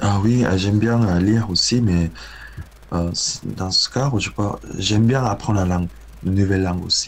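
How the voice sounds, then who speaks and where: This man speaks with a Korean accent and a fairly low pitch. His pitch variation is ordinary, and his pace is moderate. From South Korea. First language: Korean (speaking French). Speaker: guitarist and composer. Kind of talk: interview. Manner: halting, many hesitations.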